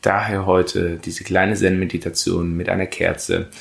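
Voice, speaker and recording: The voice belongs to a man and is very deep and low. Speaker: meditation guide podcaster. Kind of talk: guided meditation. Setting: podcast recording. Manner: slow, calm, soothing, with long pauses; gentle, instructive.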